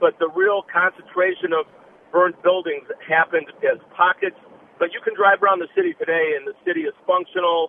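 In an Upper Midwest accent, a man talks at a moderate pace with a high pitch and monotone, flat intonation. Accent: Upper Midwest American. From Minneapolis, Minnesota. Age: 60s. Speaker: caller, rideshare driver. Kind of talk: phone-in call. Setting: phone call from a car.

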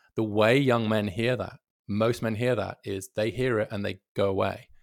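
A man talks with an English accent at a moderate pace. His intonation stays fairly even. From England. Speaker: policy researcher and author. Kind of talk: debate. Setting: remote connection.

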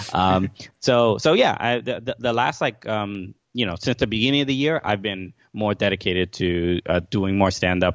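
With a New York accent, a man of fairly low pitch talks with lively intonation and hardly any pauses. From New York, Brooklyn. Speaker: comedian and podcast host. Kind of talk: casual chat. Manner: halting, many fillers and repeats.

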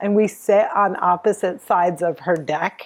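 This speaker has an American accent and talks at a fairly slow pace. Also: woman. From New Jersey, US. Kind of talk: interview. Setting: remote interview from home. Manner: animated.

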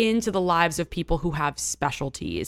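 A woman with an American accent speaks at a moderate pace in a fairly low, vocal-fried voice with a bright, sharp tone, recorded very cleanly and close-up with no echo against a silent background. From New York City, Greenwich Village. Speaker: actress and content creator. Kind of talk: casual chat.

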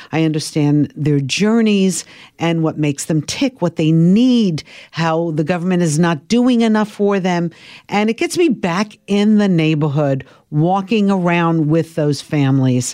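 Against a quiet background, a woman with an American accent speaks at a fairly slow pace in a dark, mellow tone, with a fairly low pitch, ordinary pitch variation and very even loudness. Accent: Brooklyn New York, slightly cleaned up. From Brooklyn, New York. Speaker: morning TV show co-host. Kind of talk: casual interview chat.

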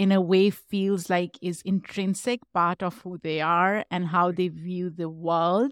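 A woman with a non-native accent speaks at a fairly slow pace, her medium pitch held in fairly even intonation. The recording is very clean with a silent background, and the sound is dry and close with no echo. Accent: foreign-accented English, immigrant to the US. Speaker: podcaster and human rights activist. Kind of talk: interview.

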